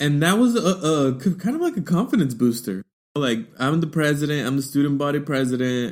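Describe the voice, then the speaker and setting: The speaker moves at a fairly quick pace with lively intonation. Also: man, fairly high pitch for a man. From United States, Mexican-American family. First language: Spanish. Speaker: diversity educator, podcast host. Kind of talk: personal talk, solo podcast.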